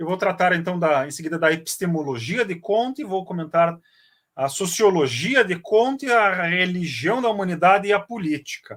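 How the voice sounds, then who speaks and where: A man with a high-pitched voice speaks at a moderate pace, his intonation lively. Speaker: professor, lecturer on philosophy. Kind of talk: lecture. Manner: hesitant, many fillers.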